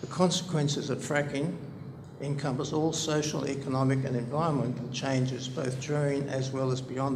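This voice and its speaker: A man with an Australian accent talks at a fairly quick pace in a medium, monotone pitch with flat intonation, with audible room echo and noticeable background noise. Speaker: public hearing submitter, researcher. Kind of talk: formal submission, reading a paper aloud with ad libs. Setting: public inquiry hearing. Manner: formal.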